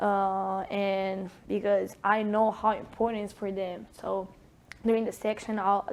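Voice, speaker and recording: With a strong Italian accent, a woman talks at a moderate pace and medium pitch. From Italy. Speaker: sports performance coach. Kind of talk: interview.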